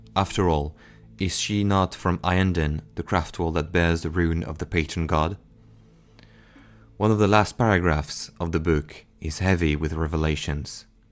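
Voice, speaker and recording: Speaking with a non-native accent at a moderate pace, a man has a very deep, low pitch and fairly even intonation on a very clean recording with a silent background. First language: not English. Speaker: lore narrator. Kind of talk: game lore narration.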